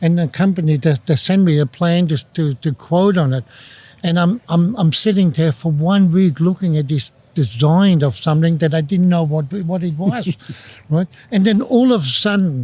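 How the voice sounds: Here a man talks at a moderate pace with a continental European accent. His pitch is fairly high, with a dark, mellow tone and ordinary pitch variation.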